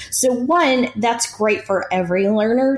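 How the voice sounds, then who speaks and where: Against noticeable background noise, a speaker with an American accent talks at a fairly slow pace with lively intonation. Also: woman. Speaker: podcast co-host. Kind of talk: casual chat.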